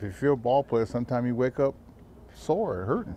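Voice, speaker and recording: A man talks at a fairly quick pace in a dark, mellow tone with fairly even intonation. The sound is dry with no echo, over light background noise. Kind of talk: interview answer. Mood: relaxed, reassuring, light humor. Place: stadium. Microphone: handheld.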